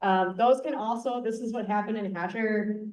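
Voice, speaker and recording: A woman with a slight Wisconsin accent, fairly high in pitch, at a moderate pace. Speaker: avalanche safety educator. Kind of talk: conference presentation. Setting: conference room with audience. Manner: casual, many fillers.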